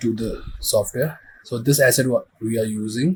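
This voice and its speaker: Somewhat breathy, a man speaks at a fairly slow pace. His pitch sits in the medium range. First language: not English. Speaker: visual effects tutorial creator. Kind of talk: tutorial. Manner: halting.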